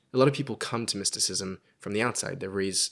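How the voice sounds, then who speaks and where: A man talks with a fairly low pitch. Nothing can be heard behind him on this very clean recording. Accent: Australian. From Sydney, Australia. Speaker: philosophy student and YouTube host. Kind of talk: casual interview. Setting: in-person studio recording.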